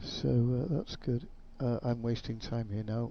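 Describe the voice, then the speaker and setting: His voice is somewhat breathy. The man talks at a moderate pace and a medium pitch. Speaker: gaming YouTuber. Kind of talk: gameplay commentary. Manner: mumbling.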